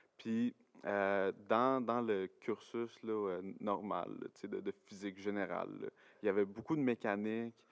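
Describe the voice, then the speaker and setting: This man's voice sits fairly low, and he speaks at a fairly slow pace. His intonation is fairly even, and the sound is dry and close, without echo. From Quebec, Gatineau (Outaouais). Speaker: university science student, podcast guest. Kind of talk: casual chat. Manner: hesitant, many fillers and repetitions.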